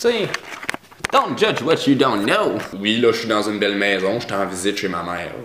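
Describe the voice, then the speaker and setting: With a Quebec accent, a man speaks at a fairly low pitch and moderate pace with ordinary pitch variation and long, frequent pauses, amid audible room echo and noticeable background noise. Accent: Quebec joual. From Quebec, Abitibi. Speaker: vlogger. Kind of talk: casual vlog monologue. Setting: at his mother's house. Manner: hesitant, many fillers and repeats; sometimes exaggerates accent for humor.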